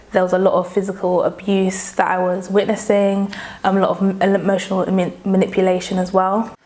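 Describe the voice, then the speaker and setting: Over noticeable background noise, a woman talks at a fairly quick pace in a monotone, flat intonation with very even loudness. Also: medium pitch for a woman. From London, England (born in Nigeria). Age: 20s. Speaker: interviewee sharing trauma story. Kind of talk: personal testimony.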